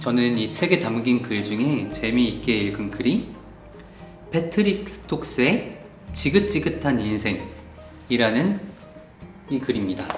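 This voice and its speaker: With music in the background, the speech goes at a very slow pace with very wide pitch swings. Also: man. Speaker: book YouTuber. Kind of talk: casual book review to camera.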